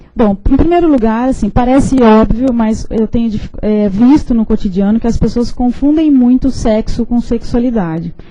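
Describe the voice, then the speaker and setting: With a fairly high pitch, ordinary pitch variation and a dark, mellow tone, a woman speaks at a moderate pace with hardly any pauses amid audible room echo. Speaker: professor. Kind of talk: lecture. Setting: lecture hall with audience, streamed online.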